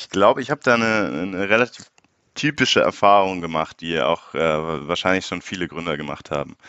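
Lively intonation marks this man's voice, which has a very deep, low pitch. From Munich, Bavaria. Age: 20s. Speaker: startup founder. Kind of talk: interview.

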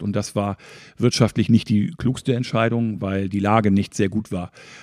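Against a quiet background, a man speaks at a moderate pace and fairly low pitch. He has a normal speaking voice with fairly even intonation. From Schleswig-Holstein, near Hamburg (northern Germany). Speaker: travel agency owner. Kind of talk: interview.

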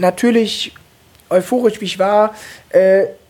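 This woman talks very slowly. Her voice sits fairly high. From Cologne, Germany. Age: 20s. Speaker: stand-up comedian. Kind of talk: casual chat. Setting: at home.

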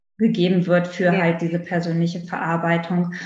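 Medium-pitched female speech ringing with audible room echo. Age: 30s. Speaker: naturopath, former pediatric nurse. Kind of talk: interview conversation.

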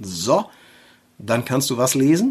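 A man in a northern German accent, fairly high in pitch, at a fairly slow pace, over noticeable background noise. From northern Germany, Schleswig-Holstein near Flensburg. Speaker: tattoo artist and podcast host. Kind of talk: casual chat.

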